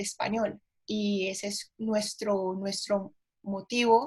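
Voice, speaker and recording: A woman with a Cali Colombian accent speaks at a very slow pace and a fairly high pitch. Her voice is somewhat breathy, with fairly even intonation. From Colombia, Cali. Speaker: teacher, historian. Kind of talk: presentation conversation. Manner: hesitant, many fillers.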